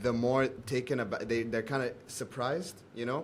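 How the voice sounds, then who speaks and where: Talking at a fairly quick pace, a man with an American accent has a plain, everyday voice at a medium pitch. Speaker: podcast host. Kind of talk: interview. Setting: video call.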